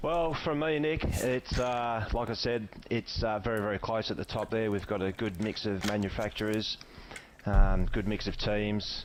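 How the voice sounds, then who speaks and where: Ordinary pitch variation and a moderate pace mark this man's fairly low-pitched speech. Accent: Australian. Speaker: sim racing co-commentator. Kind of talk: live commentary. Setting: voice chat online broadcast. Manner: loud.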